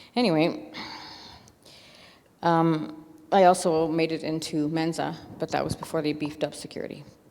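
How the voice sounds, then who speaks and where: A woman's voice sits very deep and low in pitch, with fairly even intonation. She leaves long, frequent pauses. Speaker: recovering alcoholic giving church testimony. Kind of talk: testimony. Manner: fast; halting, many fillers.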